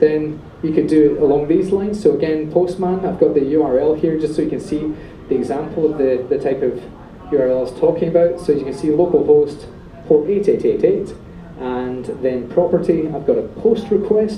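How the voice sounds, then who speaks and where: A man's fairly high voice with a Scottish accent, at a fairly quick pace with ordinary pitch variation, amid noticeable background noise and audible room echo. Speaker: software developer, meetup speaker. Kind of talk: technical presentation with live demo. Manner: fast; animated.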